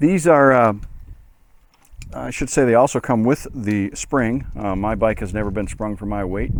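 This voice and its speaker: A man with a normal speaking voice keeps to a middling tempo, his pitch resting fairly low. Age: 60s. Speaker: motorcycle hobbyist doing a DIY tutorial. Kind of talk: tutorial. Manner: casual, with many filler words.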